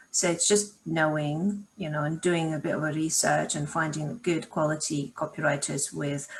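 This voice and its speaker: In a non-native accent, a woman speaks at a moderate pace with hardly any pauses and a very deep, low pitch. Her voice is somewhat breathy, and her intonation is fairly even. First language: not English. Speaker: marketing consultant. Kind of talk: live Q&A session. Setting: video call.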